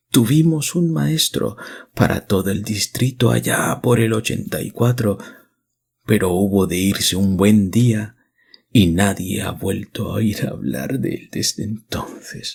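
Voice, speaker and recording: A man whispers in a hoarse, soft-spoken, put-on character voice. He speaks at a fairly slow pace. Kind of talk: archaic rural speech. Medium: read story. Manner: flattering, rambling, feverish.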